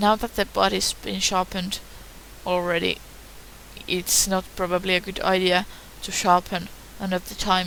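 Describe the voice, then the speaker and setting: A woman with a non-native accent speaks against noticeable background noise. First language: not English. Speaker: hobbyist tutorial maker. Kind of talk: tutorial. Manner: hesitant, many fillers.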